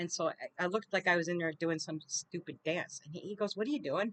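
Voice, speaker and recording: A woman speaks at a fairly low pitch and a fairly quick pace with ordinary pitch variation, in a dry, close sound with no echo. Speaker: retired paramedic. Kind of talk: casual storytelling monologue. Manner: fast; stumbles over words.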